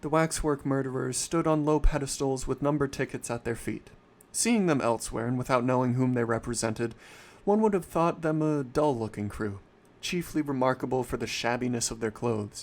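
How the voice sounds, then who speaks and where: The recording is very clean, with a silent background. A man speaks at a fairly quick pace and medium pitch in a normal speaking voice, with ordinary pitch variation. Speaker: livestreamer reading a story aloud. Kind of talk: horror story reading, livestream narration. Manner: occasional stumbles and self-corrections, live reading.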